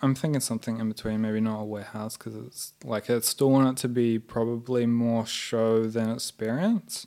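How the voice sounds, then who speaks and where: With a New Zealand accent, a man speaks at a moderate pace and medium pitch with fairly even intonation. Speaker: artist and muralist. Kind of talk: casual interview chat. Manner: halting, many fillers.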